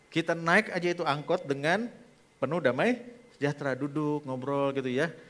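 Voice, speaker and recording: The speaker is a man. His tone is animated. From Indonesia, Bogor (West Java); West Java, Indonesia. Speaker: pastor. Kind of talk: sermon. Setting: church. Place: church. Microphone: headset.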